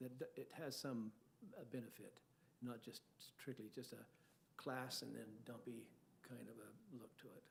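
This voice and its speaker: A man's medium-pitched voice with vocal fry, fairly even intonation and a moderate pace. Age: 70s. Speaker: property developer / applicant. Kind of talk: public meeting discussion. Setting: city planning commission meeting. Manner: halting.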